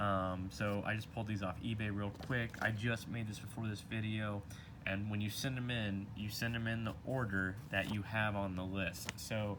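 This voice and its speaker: A man talks in a fairly low pitch with monotone, flat intonation, and the room echo is audible. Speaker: trading card collector YouTuber. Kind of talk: casual video talk. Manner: fast.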